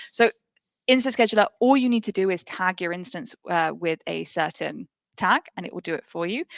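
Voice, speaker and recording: On a very clean recording with a silent background, a woman with a British accent speaks at medium pitch and a fairly quick pace, the sound dry and close with no echo. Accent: British (UK). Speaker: tech cloud cost livestream co-host. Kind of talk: live tech demo stream.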